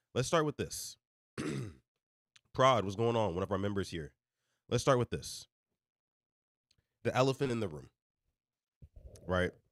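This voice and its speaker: An animated man at a medium pitch, with lively intonation, vocal fry, a moderate pace and long, frequent pauses, in a dry, close sound with no echo. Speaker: reaction show host. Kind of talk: live stream commentary. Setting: live stream.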